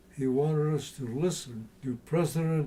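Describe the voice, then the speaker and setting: At a fairly slow pace, a somewhat breathy voice with an American accent speaks in a dark, mellow tone. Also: man. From US West, Taft, California. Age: 80s+. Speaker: local historian and war veteran. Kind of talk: interview reminiscence. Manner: halting, frequent fillers.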